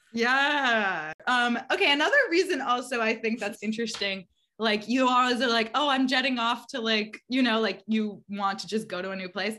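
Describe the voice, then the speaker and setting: The speaker sounds animated and enthusiastic, moving at a moderate pace with hardly any pauses and ordinary pitch variation. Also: woman, fairly high pitch for a woman. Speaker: astrology podcast host. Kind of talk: casual chat. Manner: animated, enthusiastic.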